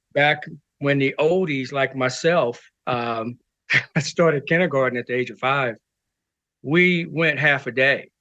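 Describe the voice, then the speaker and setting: A man's bright, sharp tone, fairly high in pitch, with ordinary pitch variation, a fairly slow pace and a quiet background. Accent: American. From US Midwest, Kansas City. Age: 60s. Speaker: martial arts grandmaster. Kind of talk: interview.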